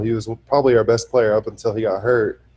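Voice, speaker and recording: Fairly quick in pace, a man speaks in an ordinary speaking voice at medium pitch. His intonation stays fairly even. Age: 20s. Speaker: professional basketball player. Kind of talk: casual interview.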